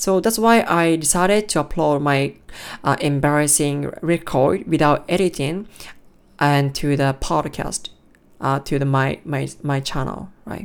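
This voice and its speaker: With a Japanese accent, a woman speaks at a fairly slow pace in a very deep, low pitch with ordinary pitch variation, on a very clean recording with a silent background. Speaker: podcaster practicing English. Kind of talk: solo monologue practice. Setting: alone in room. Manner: halting.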